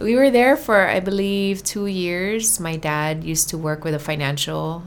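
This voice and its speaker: A woman with a Hawaiian accent talks at a moderate pace with ordinary pitch variation. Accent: Hawaii English. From Hawaii (Oahu). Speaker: musician. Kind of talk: casual chat.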